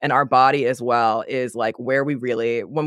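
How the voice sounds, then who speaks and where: A man speaks at a moderate pace in a medium pitch with an unremarkable speaking voice, recorded dry and close with no echo, very clean, over a silent background. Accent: American. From United States. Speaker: life and leadership coach. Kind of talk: casual interview chat.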